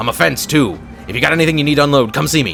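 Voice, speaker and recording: A man's put-on character voice at a very fast pace, with clear music in the background. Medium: game stream. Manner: fast, clipped, distracted.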